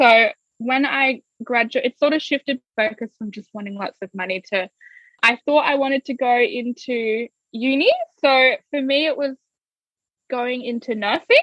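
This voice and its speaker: Speaking with an Australian accent, a woman with high pitch and ordinary pitch variation keeps a moderate pace in a dry, close sound with no echo. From Australia, Gold Coast (Queensland). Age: 20s. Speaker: digital marketing business owner. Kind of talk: interview. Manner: casual, many fillers.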